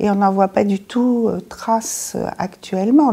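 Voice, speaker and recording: Somewhat breathy and dark, mellow in tone, a woman's medium-pitched voice moves at a fairly slow pace with fairly even intonation. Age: 60s. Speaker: patient with diabetes. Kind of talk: interview testimony.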